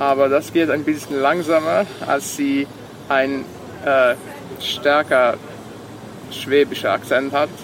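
Against noticeable background noise, a man talks at a very slow pace with long, frequent pauses. His fairly high voice holds a monotone, flat intonation and very even loudness. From Serbia, Vojvodina (Sombor). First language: Serbian (speaking German). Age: 20s. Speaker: university student. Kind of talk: interview. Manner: halting, many fillers.

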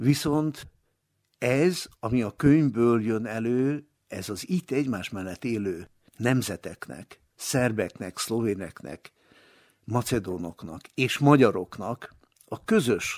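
Lively in intonation, a man speaks at a medium pitch and a very slow pace. The sound is dry and close with no echo, on a very clean recording with a silent background. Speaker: retired radio journalist and translator. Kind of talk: interview reminiscence.

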